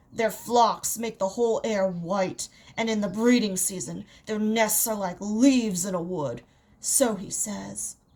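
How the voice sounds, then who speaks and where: A woman puts on a character voice, speaking at a medium pitch and a fairly slow pace. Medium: read story. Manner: hearty, blunt.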